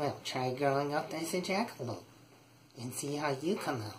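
This put-on character voice sits at a low-to-middle pitch and moves at a moderate pace over clear background noise. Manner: ornery, grumpy.

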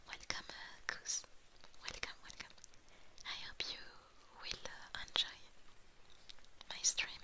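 The speaker is soft-spoken. The pace is very slow. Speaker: streamer. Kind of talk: casual stream chat with viewers. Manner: soft, tender ASMR welcome.

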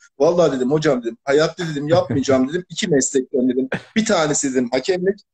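This man's voice is fairly high-pitched and somewhat breathy, and he talks at a very fast pace. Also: dry, close sound with no echo. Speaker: football fan caller. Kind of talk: live-stream call-in chat. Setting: video call on a live stream.

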